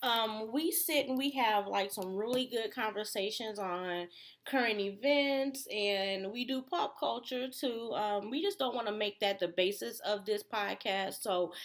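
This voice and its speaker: In an unremarkable speaking voice with an American accent, a woman talks at a fairly high pitch and a fairly slow pace with ordinary pitch variation and hardly any pauses, in a very clean recording with a silent background. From Detroit, Michigan. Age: 30s. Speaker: podcast co-host. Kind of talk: casual chat.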